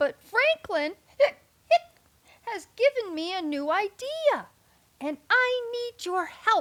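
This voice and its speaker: In a put-on character voice, raised and projected, the speaker goes at a fairly slow pace with long, frequent pauses. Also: woman, extremely high pitch for a woman. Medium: read story. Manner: interrupted by hiccups.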